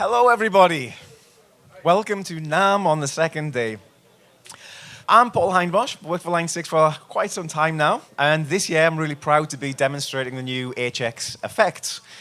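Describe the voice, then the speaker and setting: A man speaks in a fairly high pitch with a northern English accent. His tone is bright and sharp, and his intonation is lively. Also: moderate pace. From northern England. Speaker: product demonstrator. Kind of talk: product demo. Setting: trade show stage.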